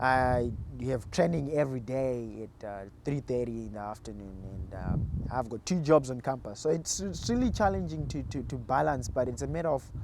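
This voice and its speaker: Speaking with a Zimbabwean accent, a medium-pitched man talks at a moderate pace with lively intonation. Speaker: college cross country runner. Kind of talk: interview. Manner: halting, many repeated words.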